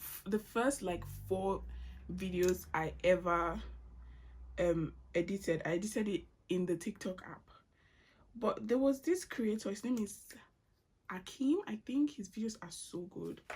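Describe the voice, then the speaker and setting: A woman speaks at medium pitch and a fairly slow pace, with long, frequent pauses and ordinary pitch variation. Her voice has vocal fry, and her loudness swings widely. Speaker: YouTube vlogger. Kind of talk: casual chat Q&A while doing makeup. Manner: casual, with fillers and restarts.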